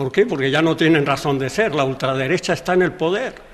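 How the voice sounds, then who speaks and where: Noticeable background noise fills the recording. Through it, a man talks with a fairly high pitch. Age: 70s. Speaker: interviewee. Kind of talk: interview. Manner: halting.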